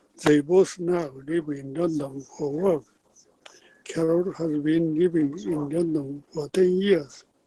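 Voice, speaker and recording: With a Japanese accent, a man speaks at a very slow pace, using fairly even intonation and a fairly high pitch. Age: 80s+. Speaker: English learner. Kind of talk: reading a text aloud.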